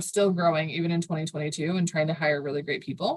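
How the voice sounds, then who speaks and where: A woman's somewhat breathy voice. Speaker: marketing agency founder. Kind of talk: podcast interview. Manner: fast.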